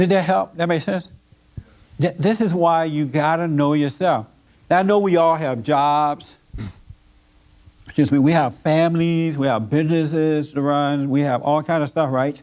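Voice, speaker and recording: With long, frequent pauses, a man speaks at a moderate pace in a fairly high pitch with ordinary pitch variation. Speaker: church minister and counselor leading a Sunday service. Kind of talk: sermon, preaching to a congregation.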